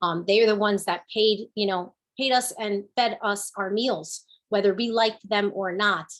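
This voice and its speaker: A woman speaks with a New Jersey accent. Her pitch is medium and her pace moderate. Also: fairly even intonation. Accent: New Jersey American English. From New Jersey, Newark and Kearny. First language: Spanish. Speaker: business owner and panelist. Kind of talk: panel discussion.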